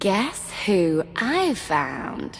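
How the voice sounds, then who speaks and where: A woman puts on a character voice at a medium pitch. Background noise is clearly audible. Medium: video game. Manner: gleeful, mocking.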